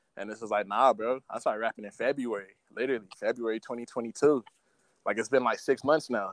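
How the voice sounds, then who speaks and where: In a plain, everyday voice with an American accent, the speaker goes at a fairly quick pace with fairly even intonation in a dry, close sound with no echo. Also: man, medium pitch for a man. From South Central Los Angeles. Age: 20s. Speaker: rapper. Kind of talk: casual chat. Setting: video call.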